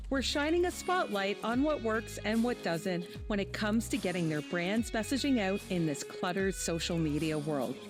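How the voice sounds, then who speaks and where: A woman speaks at a moderate pace with very even loudness. Music plays in the background. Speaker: podcast host. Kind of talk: podcast intro.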